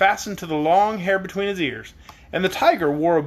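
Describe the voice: Ordinary pitch variation in plain reading aloud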